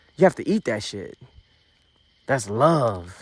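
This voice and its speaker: At a moderate pace and a medium pitch, a man speaks with an animated tone and lively intonation in a very clean recording with a silent background and a dry, close sound with no echo. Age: 30s. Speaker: podcast host. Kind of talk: casual monologue.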